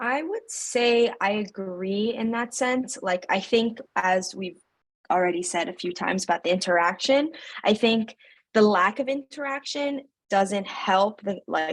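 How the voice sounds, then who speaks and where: The pace is fairly slow. Pitch variation is ordinary. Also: woman, fairly high pitch for a woman. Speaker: graduate student, focus group participant. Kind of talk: focus group discussion. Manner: halting.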